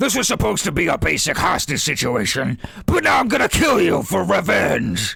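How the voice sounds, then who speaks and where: A man's raspy put-on character voice at fairly high pitch and moderate pace. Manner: menacing, threatening.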